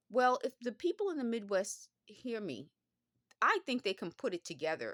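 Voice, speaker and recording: Recorded dry and close with no echo, a woman speaks at a moderate pace with a fairly high pitch and vocal fry. Her pitch swings very widely. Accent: New York. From Bronx, New York. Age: middle-aged. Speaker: former phone company worker. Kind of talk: casual talk to camera.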